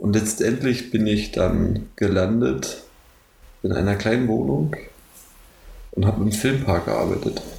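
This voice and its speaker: In a room with audible echo, a man speaks slowly in a fairly low voice, with lively intonation and long, frequent pauses. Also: very even loudness. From Brandenburg, Germany (Neuruppin). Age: 20s. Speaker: university student. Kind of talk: casual chat.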